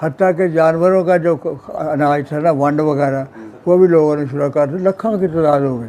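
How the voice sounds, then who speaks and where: Fairly high in pitch for a man, his dark, mellow voice moves with fairly even intonation. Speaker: Partition eyewitness. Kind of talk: personal memoir interview. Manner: passionate.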